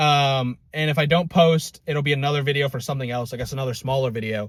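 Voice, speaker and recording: The voice is somewhat breathy and moves at a fairly quick pace. The recording is very clean, with a silent background. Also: man. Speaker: fitness vlogger. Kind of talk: casual vlog monologue. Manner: many filler words.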